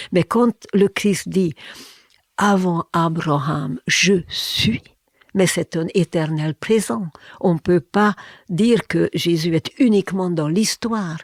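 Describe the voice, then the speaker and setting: Speaking at a very slow pace, a woman with a Hungarian accent has a fairly low pitch, heard in a dry, close sound with no echo. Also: ordinary pitch variation. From Hungary. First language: Hungarian (speaking French). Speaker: therapist and former linguist. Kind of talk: interview. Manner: halting, with many fillers and repetitions.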